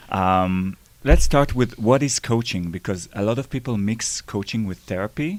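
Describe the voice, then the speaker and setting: A man with an Israeli accent talks at a fairly low pitch. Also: ordinary pitch variation, moderate pace. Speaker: interviewer, podcast host.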